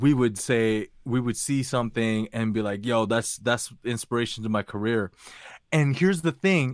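On a very clean recording with a silent background, a man speaks at a moderate pace in a normal speaking voice. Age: 20s. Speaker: retail worker. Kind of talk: casual chat.

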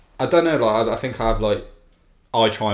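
A man speaks with an English accent in a somewhat breathy voice. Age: 20s. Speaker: music festival fan. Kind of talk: casual chat. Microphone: new podcast microphone.

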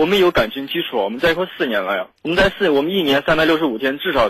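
Speech rushes by at a very fast pace. The intonation is lively. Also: man. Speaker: caller to a radio advice show. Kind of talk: personal problem told on a call-in show.

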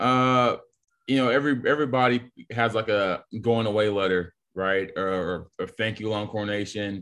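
Speaking at a moderate pace with an American accent, a man has an unremarkable speaking voice, medium pitch and fairly even intonation. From Texas. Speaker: college football player. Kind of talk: casual interview.

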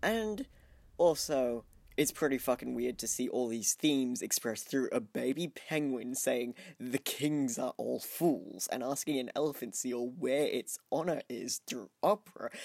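Speaking fairly slowly, a man talks with an Australian accent. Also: medium pitch for a man, ordinary pitch variation. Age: 20s. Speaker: podcast co-host. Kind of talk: casual chat; scripted narration.

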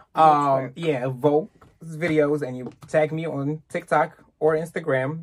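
A man with a fairly high pitch speaks at a fairly slow pace in a monotone, flat intonation, his loudness swinging widely. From Egypt. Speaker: singer and actor. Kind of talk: casual podcast interview.

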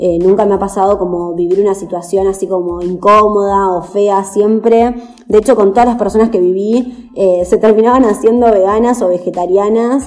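Over noticeable background noise, a woman at a medium pitch speaks at a moderate pace with fairly even intonation and hardly any pauses. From Argentina, Chascomús, Buenos Aires province. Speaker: vegan traveler and activist. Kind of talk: casual interview.

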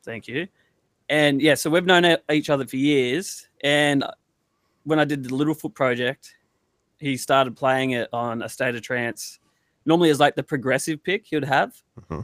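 A man with an Australian accent speaks at a moderate pace, pausing long and often. His fairly high voice has ordinary pitch variation, on a very clean recording with a silent background. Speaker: DJ and producer. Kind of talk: casual interview chat.

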